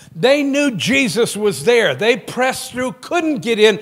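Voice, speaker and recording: With a quiet background, a man speaks using lively intonation. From Maine. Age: 50s. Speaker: pastor. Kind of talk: sermon. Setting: church. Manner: animated. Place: church.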